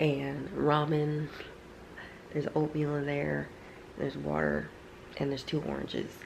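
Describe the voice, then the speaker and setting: A quiet woman at a moderate pace, with long, frequent pauses and audible room echo. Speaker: vlogger, trucking student. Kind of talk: casual video diary. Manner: quiet, talking low; chatty, filler-heavy.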